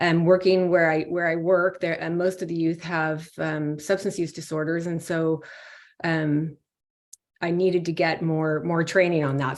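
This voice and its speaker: A woman with an ordinary speaking voice, fairly low in pitch, at a fairly quick pace with fairly even intonation, against a quiet background. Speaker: pediatrician. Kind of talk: panel discussion. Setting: video call.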